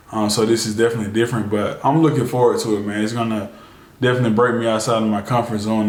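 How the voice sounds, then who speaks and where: A man's fairly low, monotone, flat voice at a very fast pace, with audible room echo. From US South, Birmingham, Alabama. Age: 20s. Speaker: YouTuber, e-commerce store owner. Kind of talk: casual Q&A vlog.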